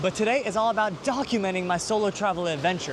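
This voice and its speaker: Over noticeable background noise, a man with a New York accent talks at a fairly quick pace in an animated tone, his pitch high with ordinary pitch variation. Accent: New York American English. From New York City. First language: Hebrew. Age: 20s. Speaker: yoga teacher and vlogger. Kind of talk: vlog talk to camera.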